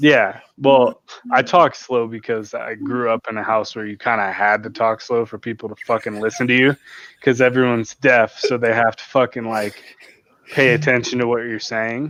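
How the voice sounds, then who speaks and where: A man of medium pitch speaks at a moderate pace with fairly even intonation and big swings in loudness. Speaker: podcast co-host. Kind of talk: casual chat. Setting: at home.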